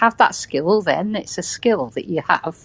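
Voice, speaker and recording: A woman with a British accent, medium pitch and lively intonation. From England, West Country. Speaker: podcast guest. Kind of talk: casual chat.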